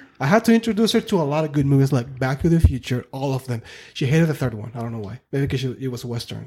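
A man with a fairly high pitch and a dark, mellow, somewhat breathy tone races along at a very fast pace with very wide pitch swings. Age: 30s. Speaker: painter and father. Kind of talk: casual chat. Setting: studio.

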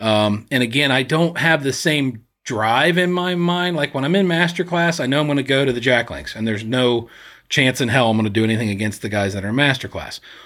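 At a fairly quick pace, a man with a normal speaking voice talks with lively intonation. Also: medium pitch for a man. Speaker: podcast co-host and clay shooter. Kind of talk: casual chat. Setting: studio.

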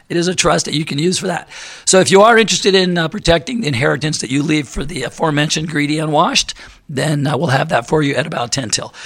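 A man speaks very fast with a fairly high voice and ordinary pitch variation while noticeable background noise carries on behind him. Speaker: radio host. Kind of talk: radio talk show.

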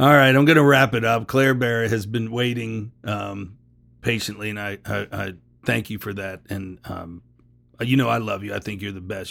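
A man's plain, everyday voice, with ordinary pitch variation and a moderate pace. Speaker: podcast host. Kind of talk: casual interview chat. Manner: jokey, talkative.

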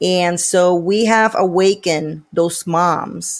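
A woman with a Puerto Rican accent speaks at a medium pitch. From Puerto Rico. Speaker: parental rights activist and political candidate. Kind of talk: interview. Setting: video call.

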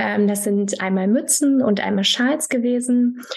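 A woman with fairly even intonation. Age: 30s. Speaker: fashion brand founder. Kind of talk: interview.

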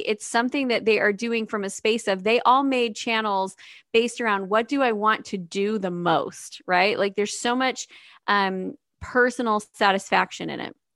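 At a moderate pace, a woman speaks in a normal speaking voice with fairly high pitch and ordinary pitch variation, on a very clean recording with a silent background. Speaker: podcast co-host and YouTuber. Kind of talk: casual podcast conversation.

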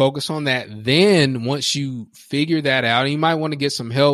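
On a very clean, dry and close recording with no echo and a silent background, a man with an unremarkable speaking voice talks at a fairly quick pace with fairly even intonation. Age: 30s. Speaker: professional speaker and coach. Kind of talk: casual interview.

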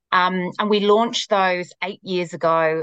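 A woman in a British accent speaks at a fairly low pitch with ordinary pitch variation, the sound dry and close with no echo. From UK. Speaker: marketing executive. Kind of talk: casual interview chat.

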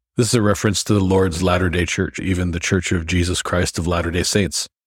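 The voice is somewhat breathy and monotone, with flat intonation, at a fairly quick pace. The recording is very clean, with a silent background. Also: man. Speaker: podcast host. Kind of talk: scripture study discussion. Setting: studio.

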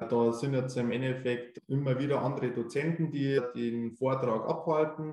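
A man's medium-pitched voice at a fairly slow pace, with hardly any pauses. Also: fairly even intonation. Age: 20s. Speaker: tax assistant preparing for tax adviser exam. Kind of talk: interview. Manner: hesitant with frequent fillers.

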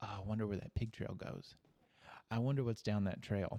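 Here a man speaks in an Arkansas accent. His tone is dark and mellow. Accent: Southern US, Arkansas. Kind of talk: religious discussion. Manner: casual, folksy.

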